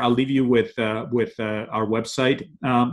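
At a moderate pace, a man talks in a fairly bright tone.

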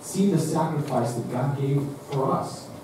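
Strong room echo and noticeable background noise surround a man's speech. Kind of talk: liturgical prayer and scripture reading. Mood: solemn. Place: church.

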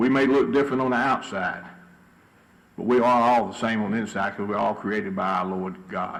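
In a room with audible echo, a man with a Southern US accent speaks at a fairly quick pace and medium pitch. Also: ordinary pitch variation. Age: 60s. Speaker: city council member. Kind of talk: council meeting remarks.

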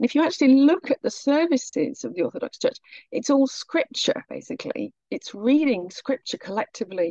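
In a dry, close sound with no echo, the woman's speech moves fairly quickly. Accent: British. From Britain. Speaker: researcher of Orthodox mission. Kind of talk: podcast interview answer.

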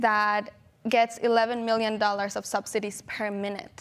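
Here a woman is talking. Her voice sits fairly high. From Mexico. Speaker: climate activist; panelist. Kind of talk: panel discussion. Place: stage. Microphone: lapel.

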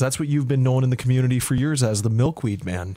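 Talking at a very fast pace with ordinary pitch variation, a man is heard in a dry sound with no echo against a quiet background. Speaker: radio host. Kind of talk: radio interview host. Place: studio.

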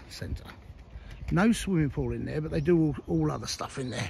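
Over light background noise, a man's voice comes through as a dry sound with no echo. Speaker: video blogger exploring a site. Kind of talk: casual vlog chat. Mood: nostalgic. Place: street. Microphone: phone near.

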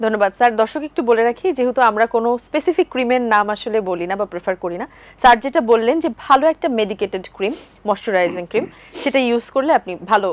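A woman with a normal speaking voice talks at a fairly high pitch with lively intonation, recorded dry and close with no echo. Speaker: TV presenter. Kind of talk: TV lifestyle talk show hosting. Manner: formal.

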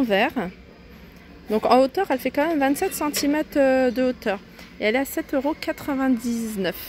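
A high-pitched woman at a very slow pace, ordinary pitch variation, dry sound with no echo and light background noise. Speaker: shopping vlogger. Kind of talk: casual shopping haul commentary. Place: shop. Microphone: phone near.

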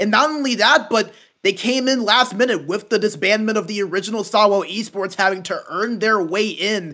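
In a very clean recording with a silent background, a man speaks at a moderate pace in a raised, projected voice, high-pitched with a bright, sharp tone and ordinary pitch variation. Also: hardly any pauses. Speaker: esports pregame analyst. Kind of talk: pregame show analysis.

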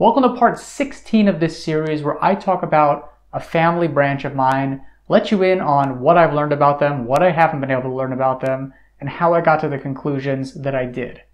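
Fairly quick speech with ordinary pitch variation. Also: man. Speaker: genealogy video host. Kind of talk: casual vlog chat. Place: home room. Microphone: phone near.

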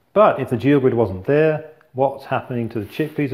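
A man's voice comes across as somewhat breathy. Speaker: engineer demonstrating. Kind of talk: tutorial. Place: kitchen. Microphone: lapel.

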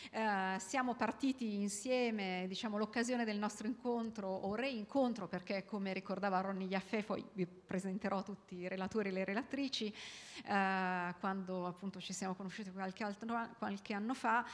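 The intonation of this woman is fairly even. She keeps to a moderate speed. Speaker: event moderator. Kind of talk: introductory speech to audience. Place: hall. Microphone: handheld.

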